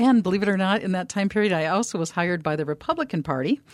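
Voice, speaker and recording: With an Upper Midwest accent, a woman talks at a medium pitch with lively intonation, recorded very cleanly against a silent background in a dry, close sound with no echo. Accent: Upper Midwest American. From US Midwest. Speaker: business developer and radio host. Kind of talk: interview. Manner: talkative, tends to ramble.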